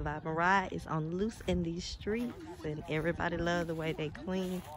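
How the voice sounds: The speaker keeps a moderate pace. Intonation stays fairly even. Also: woman, fairly low pitch for a woman.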